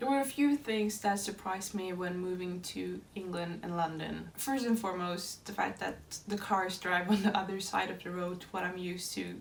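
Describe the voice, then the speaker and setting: With a Norwegian accent, a woman at medium pitch speaks at a moderate pace with fairly even intonation, amid noticeable background noise and audible room echo. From Norway. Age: 20s. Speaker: dance student. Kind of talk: scripted narration.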